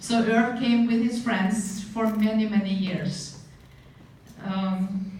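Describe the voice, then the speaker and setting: Through noticeable background noise, a woman with a Norwegian accent speaks very slowly at a medium pitch with fairly even intonation. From Norway. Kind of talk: memorial eulogy speech.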